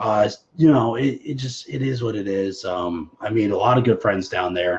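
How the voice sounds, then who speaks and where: Somewhat breathy, a man with a fairly low pitch speaks at a moderate pace with ordinary pitch variation. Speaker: show host. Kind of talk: casual live stream chat. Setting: live stream on personal social media page.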